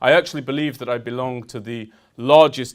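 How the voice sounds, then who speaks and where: A man with a British accent speaks at a fairly quick pace with fairly even intonation on a very clean recording with a silent background. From United Kingdom. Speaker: army veteran, speaker. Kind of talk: public talk. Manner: formal.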